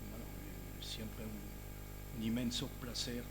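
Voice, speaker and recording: In a Parisian accent, a man speaks at a very slow pace, with audible room echo around him. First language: French (speaking Spanish). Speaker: historian, professor. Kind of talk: conference lecture. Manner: hesitant, many fillers and repetitions.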